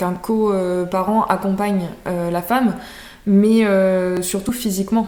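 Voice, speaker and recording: A woman at medium pitch talks at a very slow pace in a flat monotone. Room echo is audible. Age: 20s. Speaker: naturopath. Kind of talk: interview. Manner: hesitant, many fillers.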